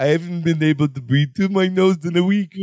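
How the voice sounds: A man's put-on character voice, nasal and squeaky, high-pitched, at a fairly quick pace.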